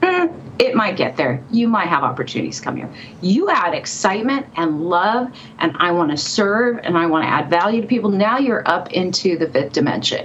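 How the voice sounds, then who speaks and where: Lively in intonation, a woman with an American accent talks at a medium pitch and a moderate pace over noticeable background noise. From California. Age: 50s. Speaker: psychic and author. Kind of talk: interview storytelling.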